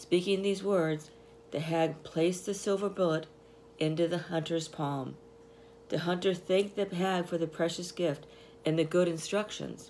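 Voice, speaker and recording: In an unremarkable speaking voice, a woman talks at a moderate pace and a fairly low pitch, with fairly even intonation. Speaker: channel host reading a book aloud. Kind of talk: fairy-tale audiobook reading aloud. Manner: storyteller's measured, expressive pace.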